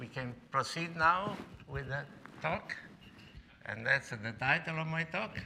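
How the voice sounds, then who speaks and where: Against noticeable background noise, a man speaks at a fairly high pitch and a fairly slow pace, with ordinary pitch variation and long, frequent pauses. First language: Italian. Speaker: professor. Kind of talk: lecture. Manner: halting.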